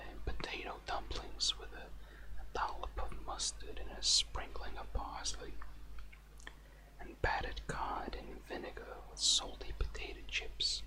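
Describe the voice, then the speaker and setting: A soft-spoken man whispers at a fairly slow pace over noticeable background noise. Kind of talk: casual talk to camera. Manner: whispery, soft-spoken.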